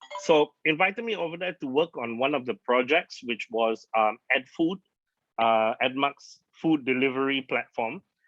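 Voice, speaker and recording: A man with a normal speaking voice, fairly high pitch, lively intonation and a moderate pace. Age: 40s. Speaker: digital marketer. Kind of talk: presentation to audience.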